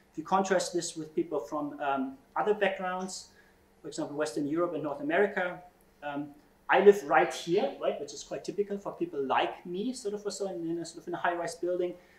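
A man with a high pitch and ordinary pitch variation talks at a fairly quick pace, his loudness swinging widely in a room with audible echo. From Germany. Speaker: computational social scientist. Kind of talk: keynote lecture. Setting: conference stage with audience. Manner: frequent fillers and hesitations. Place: classroom.

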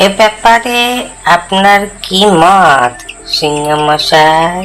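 In a cartoonish character voice at a middle pitch, the speaker goes at a fairly slow pace against clear background noise. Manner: wheedling, sly.

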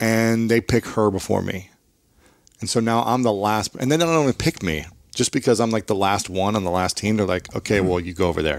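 A man with an American accent, fairly low pitch, ordinary pitch variation and a very fast pace, in a dry sound with no echo and a quiet background. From US Midwest. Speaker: author and podcaster, former athlete; podcaster. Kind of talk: interview conversation. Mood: reflective personal storytelling. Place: studio.

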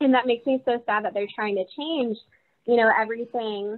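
Moderate pace and ordinary pitch variation over a quiet background. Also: woman. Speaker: university alumnus. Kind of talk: casual group conversation. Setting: video call. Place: home room. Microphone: video call.

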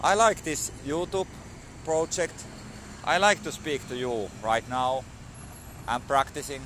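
A man talks at a very slow pace with a Finnish accent and lively intonation. The sound is dry with no echo, with light background noise. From Finland. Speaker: vlogger learning English. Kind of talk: casual vlog monologue. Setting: outdoors at a dog park. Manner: halting, many fillers and repetitions. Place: street. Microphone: phone near.

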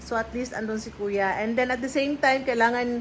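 The voice belongs to a woman and is high. Her intonation remains fairly even. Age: 30s. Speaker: vlogger. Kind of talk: casual vlog chat. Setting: in a car.

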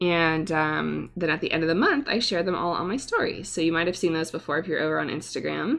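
With an American accent, a woman talks at a very fast pace, with hardly any pauses and very even loudness. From US West Coast. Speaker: watercolor artist and YouTuber. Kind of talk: live stream painting tutorial.

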